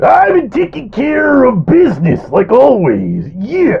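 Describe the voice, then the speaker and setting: At a fairly slow pace, the voice is a put-on character. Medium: actual play. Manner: chirpy, simple.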